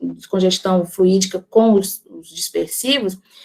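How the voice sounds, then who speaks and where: With an unremarkable speaking voice, a woman talks at a moderate pace, her pitch varying in an ordinary way. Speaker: spiritist lecturer on magnetism. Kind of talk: lecture. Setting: online talk with chat.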